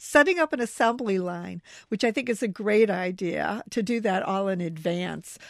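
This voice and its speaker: A woman with an American accent, a normal speaking voice, medium pitch, lively intonation and a moderate pace, in a very clean recording with a silent background. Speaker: newspaper books editor. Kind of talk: casual chat. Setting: studio.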